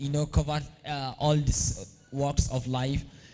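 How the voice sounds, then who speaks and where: A man's fairly high, somewhat breathy voice with a dark, mellow tone, a fairly slow pace and a northern Nigerian accent. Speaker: event organizer. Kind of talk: opening speech. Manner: hesitant, many fillers.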